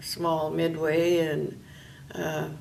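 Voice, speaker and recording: A woman speaks with a northern Ontario accent in a fairly low pitch. Her intonation is monotone and flat, and there is audible room echo. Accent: Canadian, northern Ontario. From northwestern Ontario, Canada. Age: 60s. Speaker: retired volunteer interviewee. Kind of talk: oral history interview. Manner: hesitant with many fillers.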